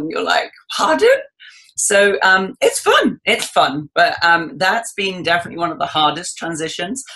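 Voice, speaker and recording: A woman speaks at medium pitch. She has an English accent. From England. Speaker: cooking guest. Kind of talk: interview.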